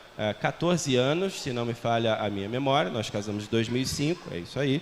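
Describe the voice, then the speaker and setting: A man's lively intonation amid noticeable background noise. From Portugal. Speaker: missionary. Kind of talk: sermon. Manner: conversational.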